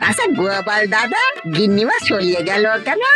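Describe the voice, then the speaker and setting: In a cartoonish character voice, a female-sounding speaker talks at a fairly high pitch over clear music in the background. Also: moderate pace. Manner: chatty, concerned.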